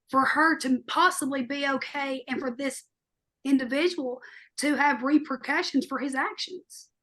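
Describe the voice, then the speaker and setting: Speaking loudly at a moderate pace, a woman uses a high pitch and fairly even intonation. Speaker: podcast co-host. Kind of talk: podcast discussion. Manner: loud, outspoken.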